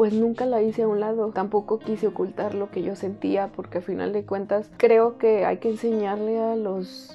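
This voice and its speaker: Over faint music in the background, a woman speaks at a moderate pace with fairly even intonation and hardly any pauses. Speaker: vlogger. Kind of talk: casual vlog chat. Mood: earnest, reflective, emotional. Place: home room.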